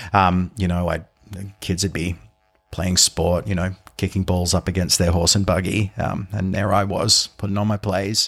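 A man with an Australian accent, very deep and low in pitch, monotone and flat in intonation, at a moderate pace. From Sydney, Australia. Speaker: musical theatre performer. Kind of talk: casual chat. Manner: halting.

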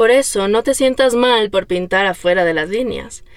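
Here a woman has an ordinary speaking voice with ordinary pitch variation. Her delivery comes at a fairly slow pace. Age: 30s. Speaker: podcast host. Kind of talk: personal monologue.

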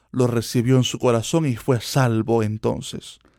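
A man speaks at a medium pitch and a fairly slow pace with ordinary pitch variation. The sound is dry and close, with no echo. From Cuba. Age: 20s. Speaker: preacher and podcast host. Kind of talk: sermon-style monologue.

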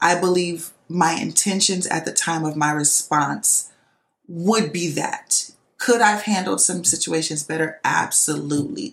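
Vocal fry runs through a woman's fairly low voice. She talks at a fairly slow pace. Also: ordinary pitch variation. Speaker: podcast host and nurse. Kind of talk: solo monologue podcast. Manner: loud; casual, many fillers.

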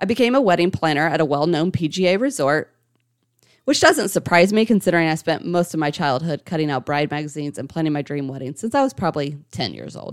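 In a very clean recording over a silent background, a woman with an American accent talks at a fairly quick pace, her fairly low voice showing lively intonation. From Ohio, US Midwest. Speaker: motivational coach and podcast host. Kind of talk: personal story monologue.

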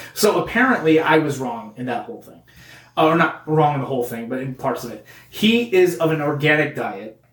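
A man's fairly high-pitched voice at a moderate pace, with lively intonation and noticeable background noise. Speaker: comedy podcast host. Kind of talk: angry rant, mock-outraged comedic tirade about crayon colors. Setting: studio.

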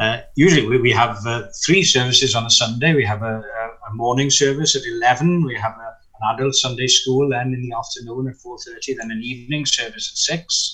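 A speaker with a South Wales accent talks at a moderate pace with fairly even intonation over noticeable background noise. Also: man, medium pitch for a man. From Wales, Gower near Swansea. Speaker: minister. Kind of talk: interview. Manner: hesitant.

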